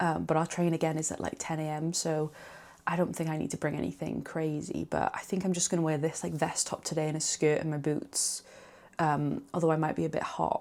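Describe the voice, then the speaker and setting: This quiet woman has a very deep, low pitch and fairly even intonation, speaking at a fairly quick pace. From Wales. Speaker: vlogger. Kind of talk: vlog chat to camera.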